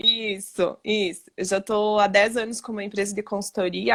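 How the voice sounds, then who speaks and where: This woman's voice rests at a medium pitch. She keeps her intonation fairly even. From western Santa Catarina, Brazil. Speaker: human development consultant. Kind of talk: live stream conversation. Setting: live stream video call.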